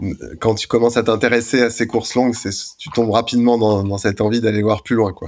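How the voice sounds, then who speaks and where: This man talks at a very fast pace in a monotone, flat intonation. His pitch sits at a medium level. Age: 40s. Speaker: anesthesiologist and ultra-trail runner. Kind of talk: interview. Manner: hesitant, many fillers.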